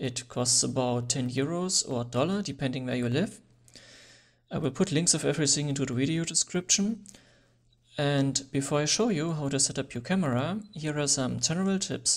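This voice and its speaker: A speaker with a non-native accent is heard on a very clean recording with a silent background. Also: moderate pace. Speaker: photography tutorial creator. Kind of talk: tutorial.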